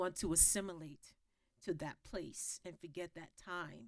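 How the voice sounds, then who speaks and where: A woman's fairly low voice with an American accent. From New York, Gullah family roots. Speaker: historian. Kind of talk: panel discussion. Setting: stage with audience. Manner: halting, many fillers.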